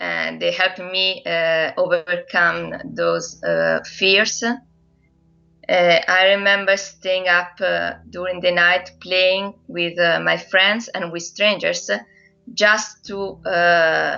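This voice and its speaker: A woman's very slow speech in an Italian accent. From central Italy. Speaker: translator and online language teacher. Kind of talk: documentary interview. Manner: hesitant, many fillers.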